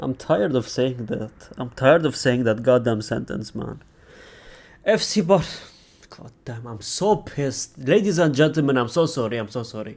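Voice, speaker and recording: With lively intonation and big swings in loudness, a man speaks at a medium pitch. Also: moderate pace. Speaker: football reaction youtuber. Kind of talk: reaction video monologue. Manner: low energy.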